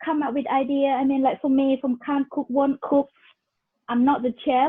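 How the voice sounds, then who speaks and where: A woman with a Thai accent, high-pitched, at a moderate pace. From Thailand, moved to England as a youth. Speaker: cooking class host. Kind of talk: casual chat. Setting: video call.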